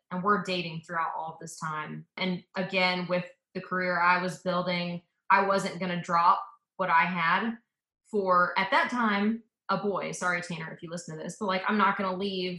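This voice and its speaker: An unremarkable speaking voice from a woman with an American accent, medium pitch, moderate pace and big swings in loudness. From US South, suburban Atlanta, Georgia. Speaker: coach's wife. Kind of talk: casual interview chat.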